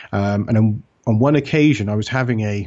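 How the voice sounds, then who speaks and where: A man talks in an English accent at a fairly low pitch. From England. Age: 40s. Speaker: author and researcher. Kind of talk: interview.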